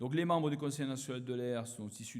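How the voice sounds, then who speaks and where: A man talks at a very fast pace with ordinary pitch variation, and audible room echo surrounds his voice. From southern France, Aveyron. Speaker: politician, former research chemist. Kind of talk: conference opening speech. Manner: hesitant, many fillers.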